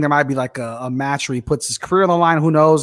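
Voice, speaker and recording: Fairly high in pitch with fairly even intonation, a man speaks in an ordinary speaking voice on a very clean recording with a silent background. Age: 20s. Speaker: wrestling podcast co-host. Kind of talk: casual chat.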